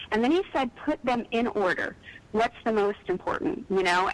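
A woman with an American accent and a plain, everyday voice speaks at a moderate pace, her fairly high pitch rising and falling with lively intonation. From East Texas. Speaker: author. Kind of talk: casual chat.

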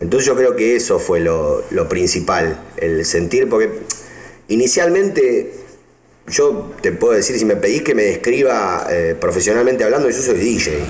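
Over noticeable background noise and audible room echo, a man speaks at a fairly slow pace. His loudness stays very even. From Argentina, Buenos Aires province. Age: 30s. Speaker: DJ and music producer. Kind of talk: interview. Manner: halting, with repeated words.

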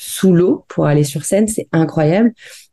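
The woman's voice has a dark, mellow tone and ordinary pitch variation. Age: 30s. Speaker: dancer and aerial acrobat. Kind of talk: casual interview.

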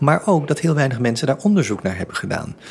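A man rattles along at a very fast pace as noticeable background noise carries on around him. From Netherlands, Surinamese family. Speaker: theatre director and exhibition curator. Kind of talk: interview. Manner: halting, many repeated words.

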